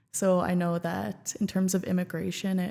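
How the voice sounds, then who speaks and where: An unremarkable speaking voice from a woman with a Canadian accent, medium-pitched, at a fairly slow pace, on a very clean recording with a silent background. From Canada (Regina, Saskatchewan). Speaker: former student union president and app co-creator. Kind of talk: podcast interview. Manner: casual, filler-heavy.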